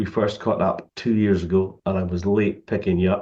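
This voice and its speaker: A man with a Scottish accent, a fairly low pitch and a monotone, flat intonation. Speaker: program chairman. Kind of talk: webinar hosting. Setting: online webinar.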